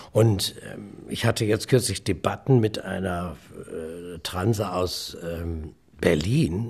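A man speaks at a very slow pace in a very deep, low, somewhat breathy voice. His pitch varies in an ordinary way while his loudness swings a lot. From Osnabrück, Lower Saxony, northern Germany. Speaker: comedian and entertainer. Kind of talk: casual interview. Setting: remote line. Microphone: good sound quality.

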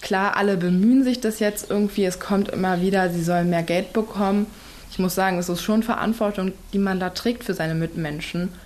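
Speaking at a fairly quick pace, a woman with an unremarkable speaking voice keeps her intonation fairly even at a medium pitch. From Berlin. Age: young. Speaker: nursing trainee. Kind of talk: interview.

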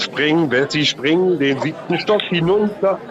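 There is music behind the speaker. This man goes at a fairly quick pace. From Berlin. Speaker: caller. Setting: phone call.

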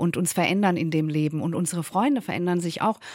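A woman with a fairly low pitch talks very fast, with ordinary pitch variation. The recording is very clean, with a silent background. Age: middle-aged. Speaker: author and journalist. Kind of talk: radio interview.

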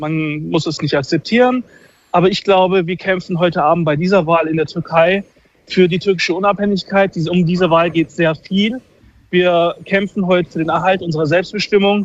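A man talks at a moderate pace. His pitch is high. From Turkish-German. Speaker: caller. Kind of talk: phone call. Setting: phone call. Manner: animated.

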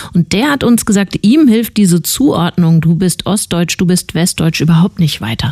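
A woman's somewhat breathy, dark, mellow voice at a medium pitch, with lively intonation and a moderate pace. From Hesse. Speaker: radio host. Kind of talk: news presentation; radio interview.

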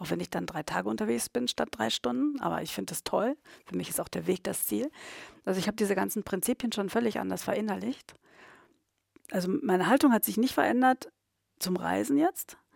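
Recorded dry and close with no echo, a woman talks at a fairly quick pace broken by long, frequent pauses. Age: 50s. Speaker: tourism consultant. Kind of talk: coaching session.

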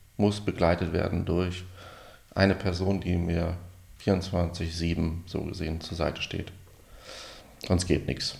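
Very slowly and with long, frequent pauses, a man speaks in a very deep, low pitch, his somewhat breathy voice held to a monotone, flat intonation. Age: 40s. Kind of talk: interview.

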